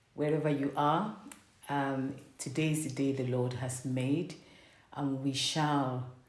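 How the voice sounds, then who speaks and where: A woman with a very deep, low pitch talks at a fairly slow pace with fairly even intonation. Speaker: parent and faith-based vlogger. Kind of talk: reflective sermon-style talk to camera.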